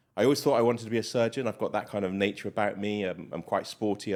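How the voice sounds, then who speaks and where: A man with an English accent, fairly low in pitch, at a very fast pace. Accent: English-sounding from UK boarding school. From England and Malawi; boarding school in Bath. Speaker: doctor. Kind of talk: interview. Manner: hesitant, many fillers.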